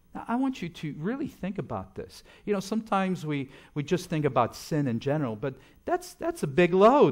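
Speaking with a slight French accent, a man uses a high pitch. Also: fairly quick pace, quiet background. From French-speaking Switzerland. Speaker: guest preacher. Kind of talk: sermon. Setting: church. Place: church. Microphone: podium.

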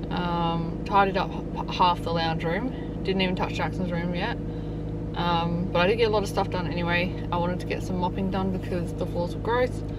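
Over loud background noise, a woman speaks at a moderate pace in dry sound with no echo. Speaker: parent vlogger. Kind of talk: casual vlog chat. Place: car.

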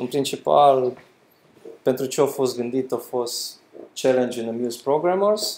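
In a medium-pitched, slightly mellow voice, a man speaks with ordinary pitch variation.

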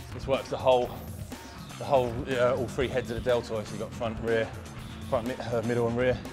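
A man's flat, monotone voice at a fairly quick pace over clear music in the background. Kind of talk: tutorial. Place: gym.

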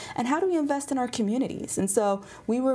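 A woman speaks at a fairly quick pace with lively intonation. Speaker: state legislator. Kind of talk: interview. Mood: earnest, serious. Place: studio. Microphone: lapel.

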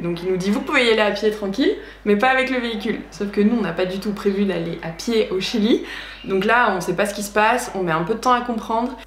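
With audible room echo and light background noise, a woman talks at a fairly quick pace. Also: ordinary pitch variation. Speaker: travel vlogger. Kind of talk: casual vlog storytelling. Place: home room.

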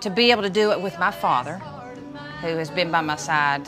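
A woman talks in an Eastern Kentucky accent. Clear music plays in the background. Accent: Eastern Kentucky Appalachian. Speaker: bluegrass singer and bass player. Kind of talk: interview answer. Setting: outdoors. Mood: warm, proud.

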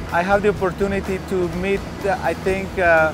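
A man's voice, dry with no echo, over background music. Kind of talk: interview answer. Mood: proud, positive. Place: open country. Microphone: lapel.

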